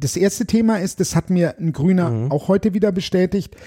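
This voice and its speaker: This man's dark, mellow tone comes through a dry, close sound with no echo. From Germany, Bavaria, moved around a lot. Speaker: political candidate and musician. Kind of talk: interview chat.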